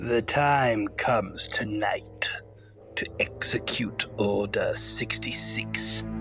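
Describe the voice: Clear music plays in the background as a man uses a put-on character voice. It sounds raspy and moves at a very slow pace.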